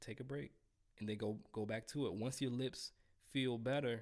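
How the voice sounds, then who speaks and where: The man talks at a moderate pace and medium pitch with ordinary pitch variation in a plain, everyday voice. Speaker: trumpet teacher. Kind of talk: live stream Q&A. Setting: live stream. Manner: casual.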